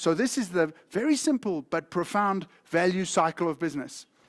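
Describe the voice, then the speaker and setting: The recording is very clean, with a silent background and a dry, close sound with no echo. A man speaks in a high, animated voice. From South Africa. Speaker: accounting educator. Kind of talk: lecture.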